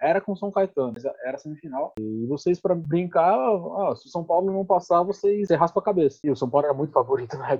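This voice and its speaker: A man with a high voice talks very fast and barely pauses, his intonation lively and his loudness swinging widely. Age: 30s. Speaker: guest discussing baldness. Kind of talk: casual chat.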